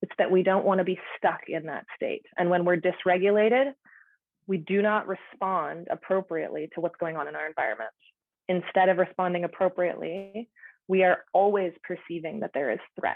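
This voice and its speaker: Here is a normal speaking voice. It has a moderate pace and ordinary pitch variation. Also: woman, medium pitch for a woman. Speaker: outdoor educator and counsellor. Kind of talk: presentation.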